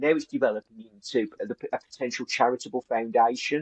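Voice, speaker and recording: A man in a West Midlands accent speaks with lively intonation in a dry, close sound with no echo. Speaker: business coach. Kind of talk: business discussion. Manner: halting, many restarts.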